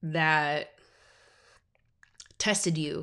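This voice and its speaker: Over a silent background in a very clean recording, a woman with a fairly low pitch speaks in a monotone, flat intonation. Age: 20s. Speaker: podcaster. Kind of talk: personal monologue. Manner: casual, filler-heavy.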